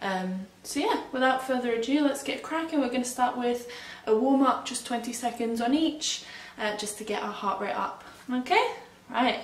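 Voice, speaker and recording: Audible room echo surrounds speech at a moderate pace with ordinary pitch variation. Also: woman, high pitch for a woman. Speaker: fitness instructor. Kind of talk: workout instruction. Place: home room. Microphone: camera far.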